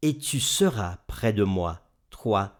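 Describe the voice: With lively intonation, the speaker does plain reading aloud.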